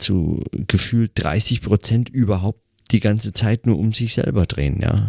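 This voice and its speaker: A man's dark, mellow tone at a fairly slow pace with ordinary pitch variation, dry and close with no echo. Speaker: podcaster. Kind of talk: solo reflective monologue. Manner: hesitant, many fillers.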